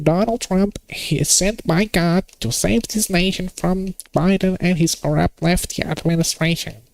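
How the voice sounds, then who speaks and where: A man puts on a high-pitched character voice, with ordinary pitch variation and hardly any pauses. The sound is dry and close with no echo. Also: moderate pace. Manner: exaggerated, mocking.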